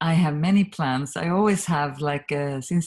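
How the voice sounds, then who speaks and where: A woman with a Swedish accent speaks at a moderate pace, somewhat breathy. Her pitch is very deep and low, with ordinary pitch variation. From Sweden. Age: 50s. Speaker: communication trainer and author. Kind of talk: interview.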